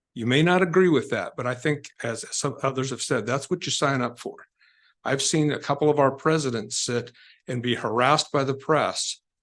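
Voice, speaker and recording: Against a quiet background, a man with an ordinary speaking voice talks at a moderate pace and medium pitch, with ordinary pitch variation. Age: 60s. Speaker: public commenter at city council. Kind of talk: public comment speech. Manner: formal.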